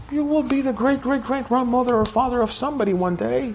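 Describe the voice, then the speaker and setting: A man speaks at an extremely high pitch with ordinary pitch variation. Audible room echo surrounds his voice. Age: 60s. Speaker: pastor. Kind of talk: sermon.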